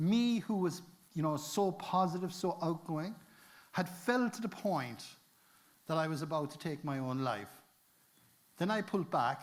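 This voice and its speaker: A man with a Cork accent speaks at a high pitch with lively intonation. He keeps a moderate pace but takes long, frequent pauses. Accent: Cork Irish. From Cork, Ireland. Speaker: adventurer, inspirational speaker. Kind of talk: motivational conference talk.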